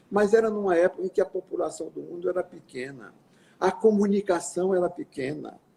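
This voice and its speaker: Fairly quick speech with a dark, mellow tone, ordinary pitch variation and big swings in loudness. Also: man, high pitch for a man. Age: 80s+. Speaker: physician and scientist. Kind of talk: interview. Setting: live video call.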